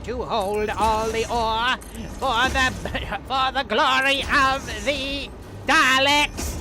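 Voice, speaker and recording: A high-pitched put-on character voice talks very slowly against loud background noise. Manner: commanding.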